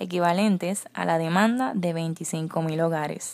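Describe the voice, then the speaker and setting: Pitched fairly low, a woman speaks at a very slow pace with ordinary pitch variation. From Puerto Rico. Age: 20s. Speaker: beauty pageant contestant. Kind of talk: scripted presentation.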